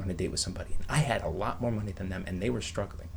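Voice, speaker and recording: A man speaks at a very fast pace, his pitch swinging very widely. Room echo is audible. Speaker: online video creator. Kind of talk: casual vlog monologue. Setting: bedroom at home. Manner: whispering.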